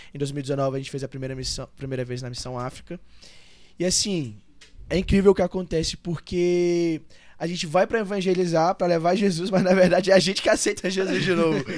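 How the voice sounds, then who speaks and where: A man talks very fast in a high voice, captured in a very clean recording with a silent background. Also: ordinary pitch variation. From Brazil, Goiás (Valparaíso, near Brasília). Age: 20s. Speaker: church member, pastor's son. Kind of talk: podcast interview.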